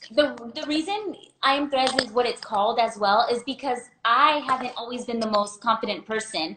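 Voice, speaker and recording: A loud woman with a high pitch and bubbly tone speaks at a moderate pace with ordinary pitch variation. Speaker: small business owner. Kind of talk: interview.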